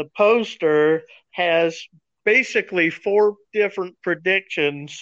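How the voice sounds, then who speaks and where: Speaking at a very slow pace, a man varies his pitch in an ordinary way. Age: 60s. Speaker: chemical engineer and amateur magician. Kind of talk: casual chat.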